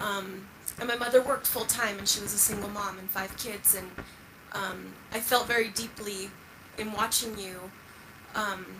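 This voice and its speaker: A woman's monotone, flat delivery with long, frequent pauses and big swings in loudness, plus audible room echo and noticeable background noise. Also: medium pitch for a woman, moderate pace. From United States, moved from Mexico at four. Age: 30s. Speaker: audience member asking a question. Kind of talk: audience question. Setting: theater with audience. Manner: hesitant, many fillers.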